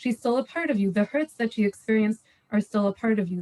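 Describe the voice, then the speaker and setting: Somewhat breathy, a woman with a fairly high pitch talks at a fairly quick pace with ordinary pitch variation. The sound is dry and close, with no echo. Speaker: parenting panelist. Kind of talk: live panel Q&A. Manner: fast.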